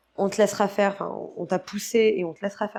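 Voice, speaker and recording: Speaking at a very fast pace, a woman holds a medium pitch with monotone, flat intonation. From Guadeloupe. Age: 30s. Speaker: retired freestyle skier. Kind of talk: podcast interview. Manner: hesitant, many fillers.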